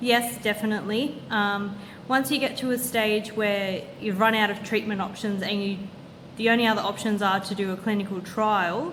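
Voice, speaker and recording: Over noticeable background noise and audible room echo, a woman with an Australian accent talks at a moderate pace in a fairly high voice with fairly even intonation. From Australia, Sydney. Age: 30s. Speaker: cancer patient vlogger. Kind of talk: Q&A video monologue.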